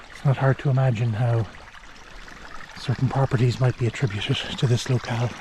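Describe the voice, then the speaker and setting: A man whispers with an Irish accent at a moderate pace. Background noise is noticeable. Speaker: outdoor travel vlogger. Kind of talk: walking tour vlog narration. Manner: whispering.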